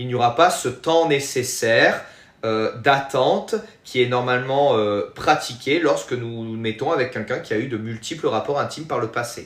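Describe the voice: A man speaks at a medium pitch and a moderate pace, with ordinary pitch variation and a fairly bright tone.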